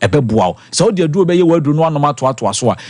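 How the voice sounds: The voice moves at a very fast pace, with a slightly mellow tone and lively intonation. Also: man, fairly high pitch for a man.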